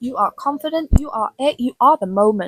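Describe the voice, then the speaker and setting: A woman speaks at a high pitch and a moderate pace with lively intonation, the sound dry and close with no echo. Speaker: vlogger. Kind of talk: casual monologue. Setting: filmed to camera. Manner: loud.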